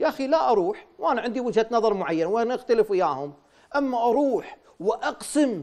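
Someone with a Kuwaiti accent speaks with very wide pitch swings over a quiet background. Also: man. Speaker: former member of parliament. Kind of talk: TV interview. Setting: studio. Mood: critical, questioning. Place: studio. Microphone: lapel.

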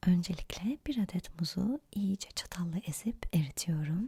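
Soft-spoken and somewhat breathy, a woman speaks very slowly at a medium pitch, her tone dark and mellow, her intonation lively. The sound is dry and close, with no echo. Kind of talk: ASMR cooking recipe narration.

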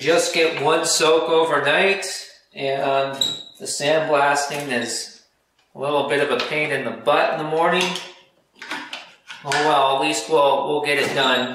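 Amid audible room echo and noticeable background noise, a man speaks with fairly even intonation and long, frequent pauses. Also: fairly slow pace. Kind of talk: casual workshop vlog commentary. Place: garage. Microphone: camera far.

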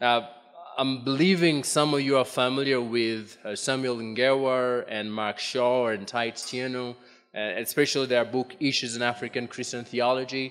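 With fairly even intonation and hardly any pauses, a man talks at a moderate pace. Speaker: conference presenter. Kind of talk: lecture. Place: hall. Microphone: podium.

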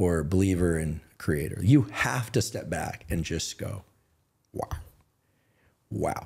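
A man speaks very slowly at a fairly low pitch. His voice is somewhat breathy over a quiet background. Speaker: guest. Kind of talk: interview answer. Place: studio. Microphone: studio mic.

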